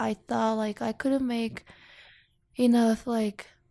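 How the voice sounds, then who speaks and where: Fairly slow, fairly even speech with a Korean accent and a dry, close sound with no echo. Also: woman. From South Korea. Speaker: international student. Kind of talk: interview. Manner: halting.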